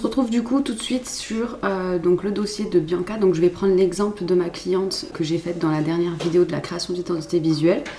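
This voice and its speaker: A woman speaks with hardly any pauses, at a medium pitch with ordinary variation. Noticeable background noise runs underneath. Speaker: graphic designer. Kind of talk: tutorial. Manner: casual, with frequent hesitations.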